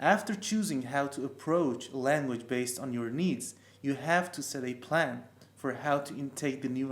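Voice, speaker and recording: A man with a non-native accent speaks at a moderate pace. His pitch is medium with ordinary variation. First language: not English. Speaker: language learning youtuber. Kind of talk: tutorial. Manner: some hesitations and false starts.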